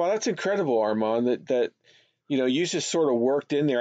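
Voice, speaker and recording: Heard in a dry, close sound with no echo, a man with a plain, everyday voice speaks at a medium pitch with ordinary pitch variation. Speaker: podcast host and animation director. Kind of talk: casual interview.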